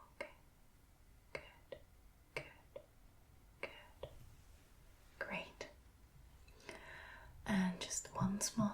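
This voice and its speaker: A woman whispers at a very slow pace. Her tone is calm and gentle. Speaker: ASMR creator playing an ophthalmologist. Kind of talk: ASMR roleplay, soft spoken eye exam. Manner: soft-spoken, calm, gentle.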